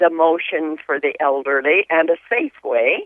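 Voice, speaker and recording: Speech comes at a fairly slow pace with ordinary pitch variation. It is a normal speaking voice. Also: woman. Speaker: caller. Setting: phone call.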